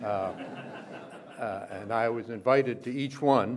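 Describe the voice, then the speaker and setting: With fairly even intonation, a man is talking. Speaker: speaker. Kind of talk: formal speech with anecdote. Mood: humorous storytelling. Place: hall.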